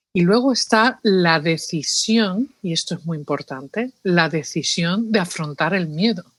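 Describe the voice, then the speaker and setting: A woman with an Andalusian accent at a fairly slow pace, lively intonation and hardly any pauses, on a very clean recording with a silent background. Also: medium pitch for a woman. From New York, Spanish family from Seville. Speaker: psychologist. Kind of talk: interview.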